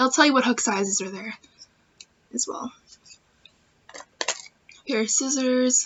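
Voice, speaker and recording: A high-pitched woman with long, frequent pauses. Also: ordinary pitch variation, fairly slow pace, big swings in loudness. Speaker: crochet podcaster. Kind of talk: casual craft podcast talk to camera.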